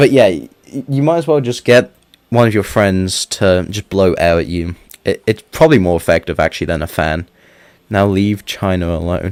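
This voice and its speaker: A man speaks at a moderate pace with lively intonation. His pitch is fairly low. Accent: British. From United Kingdom. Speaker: gaming streamer. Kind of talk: casual chat. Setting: live stream. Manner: animated, with stammers and restarts.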